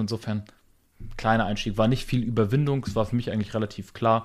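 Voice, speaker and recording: A man with a medium-pitched voice talks at a fairly quick pace on a very clean recording with a silent background. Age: 30s. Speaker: podcast host, business owner. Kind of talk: casual chat. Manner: animated.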